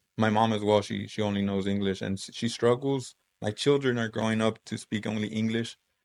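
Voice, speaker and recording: A man with a Spanish accent talks at a fairly quick pace in a fairly low, monotone voice with flat intonation. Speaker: high school Spanish teacher. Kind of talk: casual chat.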